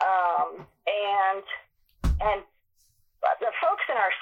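This is a woman speaking with an American accent. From Massachusetts. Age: 50s. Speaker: barrel racer and horse trainer. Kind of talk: podcast interview.

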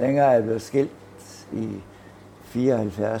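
Noticeable background noise runs under the recording. A man talks at a medium pitch. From Herning, Midtjylland, Denmark. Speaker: baker. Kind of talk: casual chat. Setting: bakery.

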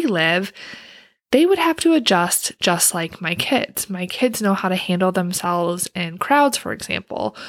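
A woman with a normal speaking voice, medium pitch and lively intonation. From Wisconsin. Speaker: career coach, podcast host. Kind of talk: solo podcast monologue.

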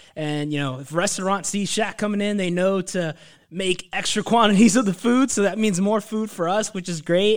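A man with an American accent talks at a fairly quick pace in a high pitch. His pitch varies in an ordinary way on a very clean recording with a silent background. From Northern Virginia, US. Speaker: university student co-host. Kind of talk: casual chat.

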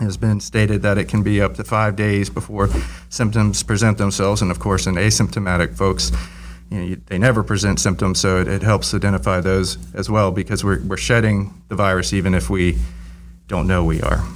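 With an American accent, a man talks at a fairly quick pace in a very deep, low voice that has vocal fry and very wide pitch swings. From US South, Virginia Beach. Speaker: university safety manager. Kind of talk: interview.

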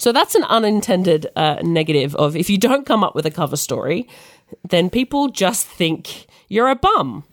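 With an Australian accent, a woman talks at a moderate pace and a medium pitch. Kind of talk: casual chat.

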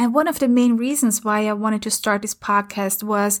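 With an Austrian accent, a woman speaks in an animated tone at a moderate pace. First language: German. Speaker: transformation coach and podcast host. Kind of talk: scripted-style podcast intro and solo talk. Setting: home recording during London lockdown. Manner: animated, talks with hands and facial expressions.

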